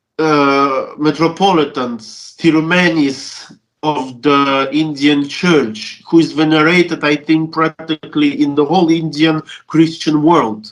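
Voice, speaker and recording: A man with a Russian accent, fairly high pitch and very even loudness. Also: fairly even intonation. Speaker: Orthodox deacon, church relations official. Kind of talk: interview, recounting memories. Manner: halting, many fillers and restarts.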